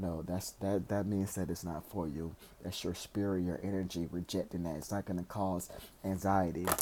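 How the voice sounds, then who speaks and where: Soft-spoken, the man has a very deep, low pitch, a dark, mellow tone, and monotone, flat intonation. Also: moderate pace. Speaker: tarot reader. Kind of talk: tarot reading. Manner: halting.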